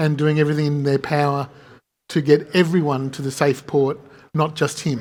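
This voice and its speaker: Recorded very cleanly against a silent background, a man talks at a moderate pace in a fairly high voice with monotone, flat intonation. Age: 60s. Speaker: game studio founder. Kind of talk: fireside chat interview. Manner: halting.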